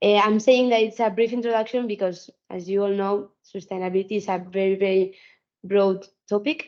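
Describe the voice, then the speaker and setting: A woman with a Spanish accent speaks at a medium pitch and moderate pace, her intonation fairly even. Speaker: sustainability consultant and trainer. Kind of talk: webinar lecture. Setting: video call webinar. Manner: halting, many repetitions.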